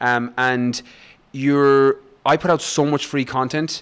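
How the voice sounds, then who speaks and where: Monotone, flat intonation in an Irish accent. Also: man. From west of Ireland, rural. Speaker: fitness coach and author. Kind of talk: interview conversation.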